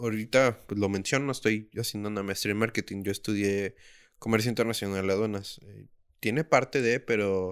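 In a very clean recording with a silent background, a man with a plain, everyday voice speaks at a moderate pace in a fairly low pitch, his intonation fairly even but his loudness swinging widely. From Mexico, Tijuana. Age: 20s. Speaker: podcast host. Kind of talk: casual chat. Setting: home.

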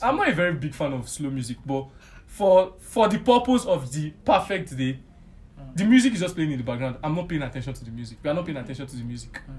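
A man speaks very fast in a fairly high, somewhat breathy voice, with very wide pitch swings and big swings in loudness. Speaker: friend of the host. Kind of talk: casual chat.

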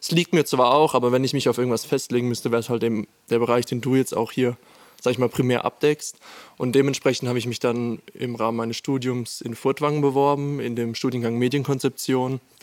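In a dry, close recording with no echo, a man of medium pitch speaks at a fairly quick pace with monotone, flat intonation. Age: 20s. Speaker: student intern. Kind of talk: casual chat.

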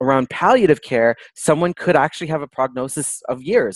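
This is a plain, everyday voice with a Canadian accent, moving at a fairly quick pace with ordinary pitch variation. The sound is dry and close, with no echo. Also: man. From Toronto, Canada. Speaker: palliative care doctor. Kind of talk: interview conversation.

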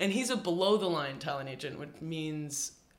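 Audible room echo hangs around this recording. The man talks at a moderate pace. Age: 20s. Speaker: cinematographer. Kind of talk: casual chat.

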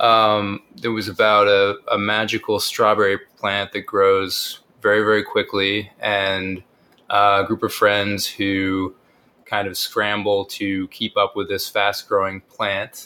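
A bright, sharp tone delivered at a very slow pace with monotone, flat intonation. The recording is very clean, with a silent background. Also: man, fairly low pitch for a man. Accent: American. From northern California. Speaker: writer. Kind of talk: interview. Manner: halting.

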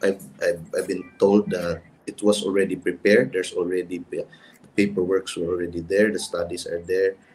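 A man speaks in a fairly low pitch with a Filipino accent. His pace is moderate. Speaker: lawyer, bar association president. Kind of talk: panel discussion.

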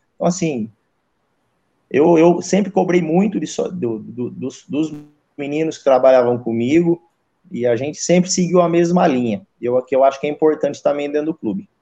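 Speaking at a moderate pace, a man has a dark, mellow tone. His pitch is fairly high and varies in an ordinary way. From interior of São Paulo state, Brazil. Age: 40s. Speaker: goalkeeper coach. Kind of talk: casual interview.

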